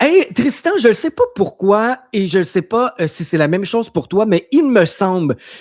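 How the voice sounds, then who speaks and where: Someone speaks at a moderate pace with a Quebec accent on a very clean recording with a silent background. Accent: Québécois French. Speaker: web radio host. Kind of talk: casual interview.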